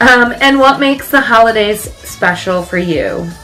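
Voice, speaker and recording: Noticeable background noise sits behind a woman's voice. She talks at a moderate pace with lively intonation. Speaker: vintage lifestyle vlogger. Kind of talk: casual chat.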